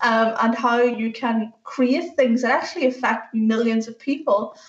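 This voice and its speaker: A woman speaks with a Northern Irish accent. Her pitch sits fairly high, and her pace is moderate. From Northern Ireland. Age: 30s. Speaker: software engineer. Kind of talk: talk to school students.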